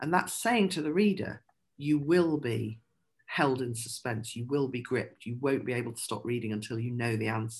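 Somewhat breathy and very deep, low in pitch, a woman speaks with lively intonation at a moderate pace. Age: 50s. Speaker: crime novelist and poet. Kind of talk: interview about writing craft.

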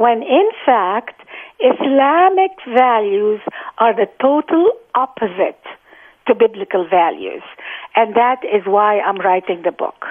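Very slowly, a woman with an Arabic accent speaks at a fairly high pitch, her voice making very wide pitch swings. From Egypt (Cairo) and Gaza. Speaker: author. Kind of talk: interview.

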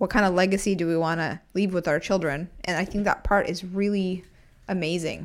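Over a silent background on a very clean recording, a woman speaks at a fairly quick pace. She has a plain, everyday voice and fairly even intonation. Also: medium pitch for a woman. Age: 20s. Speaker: podcast co-host. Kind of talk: casual chat.

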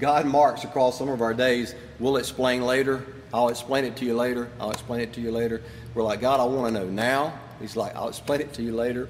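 Over noticeable background noise and audible room echo, a man talks fairly quickly at a medium pitch in a monotone, flat delivery. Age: 50s. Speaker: pastor. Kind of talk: sermon. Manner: casual.

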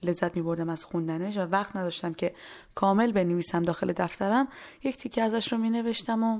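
The recording is very clean with a silent background. The speech moves at a fairly quick pace with ordinary pitch variation in an unremarkable speaking voice. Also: woman. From Iran. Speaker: podcast host. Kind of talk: personal storytelling and poetry reading.

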